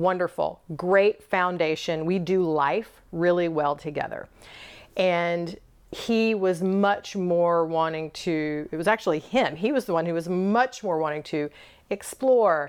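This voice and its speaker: A woman with an unremarkable speaking voice talks at a fairly slow pace with ordinary pitch variation against a quiet background. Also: fairly low pitch for a woman. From US South. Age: 50s. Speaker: intimacy and leadership coach. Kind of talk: casual interview chat. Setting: recorded in her bed.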